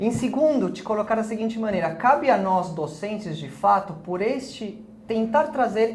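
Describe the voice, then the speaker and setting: A man at a moderate pace, with audible room echo. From Spanish-speaking country. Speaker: architecture professor. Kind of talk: interview.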